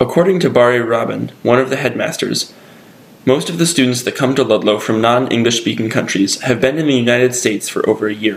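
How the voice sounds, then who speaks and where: Over noticeable background noise, a man with an American accent talks very fast at a medium pitch with ordinary pitch variation. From Connecticut, US. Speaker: student video maker. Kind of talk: scripted narration.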